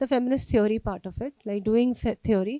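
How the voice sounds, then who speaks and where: An Indian accent in a dark, mellow tone at a moderate pace, with ordinary pitch variation, a dry, close sound with no echo, and a very clean recording with a silent background. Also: woman. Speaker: sociology professor. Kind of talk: lecture. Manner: code-switching, many fillers.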